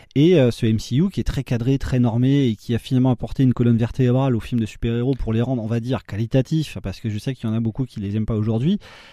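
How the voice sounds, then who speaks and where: Dark and mellow in tone, the voice races at a very fast pace with hardly any pauses and ordinary pitch variation, its sound dry and close with no echo against a quiet background. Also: man, medium pitch for a man. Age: 30s. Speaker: film podcast host. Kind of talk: casual panel chat.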